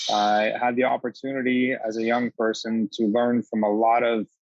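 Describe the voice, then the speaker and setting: With a Canadian accent, a man speaks in a monotone, flat intonation at medium pitch, in a dry, close sound with no echo. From small-town northern Ontario, Canada. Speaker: HR and immigration consultant. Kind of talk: presentation. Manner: fast.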